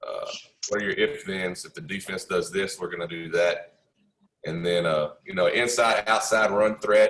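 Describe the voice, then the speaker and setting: The pace is moderate. The speaker is a man. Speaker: football coach. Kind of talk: coaching clinic presentation. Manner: casual with frequent fillers.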